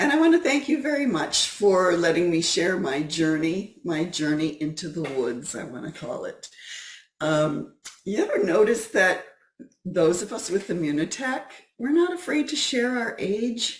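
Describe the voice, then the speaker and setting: A somewhat breathy woman at a fairly slow pace, with very wide pitch swings. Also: medium pitch for a woman. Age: 60s. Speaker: guest speaker, wellness advocate. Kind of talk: talk. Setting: video call.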